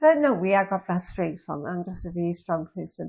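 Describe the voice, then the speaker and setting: A woman is speaking at a medium pitch. Her voice is somewhat breathy. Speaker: cancer survivor and patient. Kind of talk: interview.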